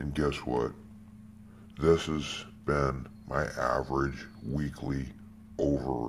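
Over background music, a man with an American accent speaks in a very deep, low voice with fairly even intonation. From United States. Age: 50s. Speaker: security guard and odd-job worker. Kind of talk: personal testimony monologue. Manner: emphatic, repetitive. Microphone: phone near.

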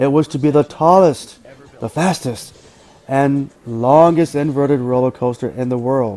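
The pitch variation in this man's voice is ordinary. He keeps a moderate pace. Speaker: channel narrator. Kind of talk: documentary narration.

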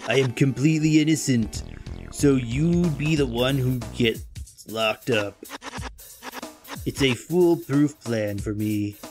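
Here a man does a strained, put-on character voice at medium pitch and a fairly slow pace. Long, frequent pauses break it up, with faint music in the background. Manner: smug, scornful.

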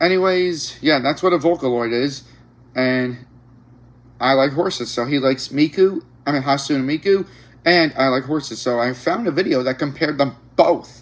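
Pitch varies in an ordinary way. A man speaks at a moderate pace. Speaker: reaction channel host. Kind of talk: casual vlog chat.

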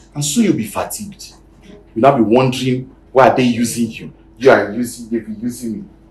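A man speaks with ordinary pitch variation. There is audible echo in the room. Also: medium pitch for a man, fairly quick pace, big swings in loudness. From Nigeria. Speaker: pastor. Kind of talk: sermon. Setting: church. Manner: animated. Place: church. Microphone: lapel.

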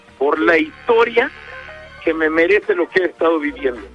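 With music playing behind him, a man talks in very wide pitch swings. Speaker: radio host. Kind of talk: live radio show.

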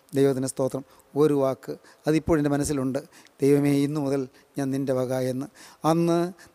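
A man speaks over a quiet background. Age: 70s. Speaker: preacher. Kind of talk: sermon. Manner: repetitive, emphatic. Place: hall. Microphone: podium.

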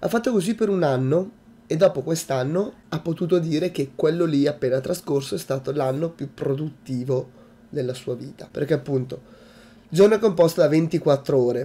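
A man's somewhat breathy voice, fairly high for a man, dark and mellow in tone, at a moderate pace. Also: ordinary pitch variation. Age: 20s. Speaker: YouTuber. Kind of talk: vlog monologue. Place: home room. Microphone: webcam.

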